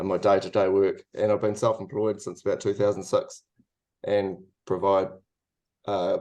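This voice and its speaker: The background stays quiet. A man talks at a moderate speed. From New Zealand. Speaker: industrial designer. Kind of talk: webinar presentation. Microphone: video call.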